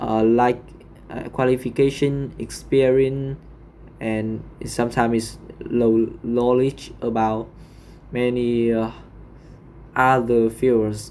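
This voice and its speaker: A man speaks very slowly, with long, frequent pauses. His medium-pitched voice has a dark, mellow tone and a monotone, flat intonation. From Vietnam. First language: Vietnamese. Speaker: English learner. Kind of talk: speaking exam practice. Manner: halting.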